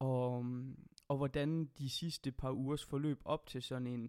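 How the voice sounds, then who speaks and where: A man's voice at medium pitch. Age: 20s. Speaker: podcast host. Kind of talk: casual chat.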